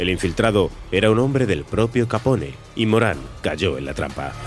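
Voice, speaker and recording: A man talks at a moderate pace in a fairly low pitch, his pitch swinging very widely. Music plays in the background. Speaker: podcast narrator. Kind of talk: history documentary narration.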